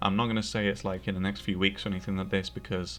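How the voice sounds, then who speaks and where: With a British accent, a man speaks at a fairly low pitch and uses ordinary pitch variation. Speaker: gaming YouTuber. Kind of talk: casual video outro talk to camera. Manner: halting, many fillers.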